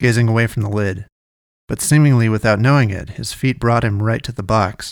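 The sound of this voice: The background stays quiet beneath an unforced reading voice.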